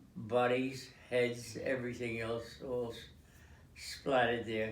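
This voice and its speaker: Noticeable background noise behind a very slow delivery. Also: man. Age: 80s+. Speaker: war veteran, former tank commander. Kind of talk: interview answer. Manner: halting, hesitant.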